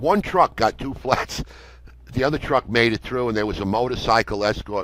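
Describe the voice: At a moderate pace, a man talks with a medium pitch, ordinary pitch variation and a fairly bright tone.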